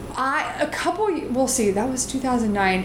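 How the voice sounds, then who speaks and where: A woman with an American accent at a fairly slow pace, over noticeable background noise. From US South. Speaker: comedian and writer. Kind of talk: casual interview chat.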